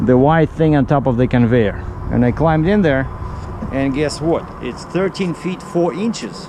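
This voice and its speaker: Over noticeable background noise, a man with a Russian accent talks at a fairly high pitch. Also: lively intonation, moderate pace. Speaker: truck driver. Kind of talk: vlog narration. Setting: outdoors at a shipper's yard. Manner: casual, conversational.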